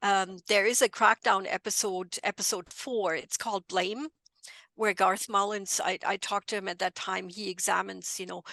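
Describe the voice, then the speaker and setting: With a German accent, a woman speaks at a medium pitch in a bright, sharp tone and fairly even intonation. Her pace is moderate, and the sound is dry and close with no echo against a quiet background. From Germany, near Frankfurt. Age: 60s. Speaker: bereaved mother and drug policy advocate. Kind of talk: podcast interview.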